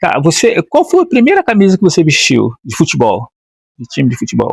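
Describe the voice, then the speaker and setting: Heard with a dry, close sound and no echo, a man talks at a fairly quick pace. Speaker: former footballer interviewer. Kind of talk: interview. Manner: hesitant, halting.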